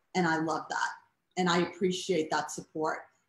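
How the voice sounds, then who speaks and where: Audible room echo surrounds a woman who speaks at a fairly slow pace with a monotone, flat intonation. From Boston. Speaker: cancer patient and award honoree; guest. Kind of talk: casual interview. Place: home room. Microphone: video call.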